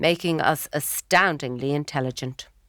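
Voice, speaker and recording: A woman speaks at a fairly slow pace in a Dublin accent. The recording is very clean, with a silent background. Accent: Irish (Dublin). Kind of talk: memoir narration, dramatic reading. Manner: wry, humorous.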